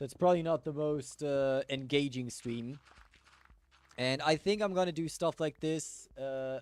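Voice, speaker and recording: With a German accent, a man talks at a fairly slow pace in a dry, close sound with no echo. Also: fairly high pitch for a man, ordinary pitch variation. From Germany. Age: 20s. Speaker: gaming streamer. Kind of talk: casual chat. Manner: relaxed.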